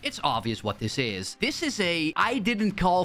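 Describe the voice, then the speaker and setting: Over noticeable background noise, a man with a non-native accent talks at a fairly slow pace, his fairly high pitch swinging very widely. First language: not English. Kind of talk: commentary video.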